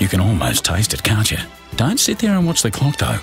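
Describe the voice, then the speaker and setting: The speaker has an Australian accent. Clear music plays in the background, and the sound is dry with no echo. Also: man. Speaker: voice actor. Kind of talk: radio commercial read. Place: studio.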